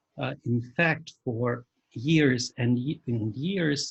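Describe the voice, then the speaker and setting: A man speaks very slowly at a medium pitch, somewhat breathy, with ordinary pitch variation. The sound is dry and close, with no echo. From Russia. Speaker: church journalist and editor. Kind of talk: lecture. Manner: halting, many fillers.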